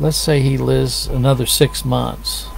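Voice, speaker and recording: A man with an American accent speaks with music in the background and audible room echo. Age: 60s. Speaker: lay preacher. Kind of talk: casual sermon-style talk to camera. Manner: conversational, meandering.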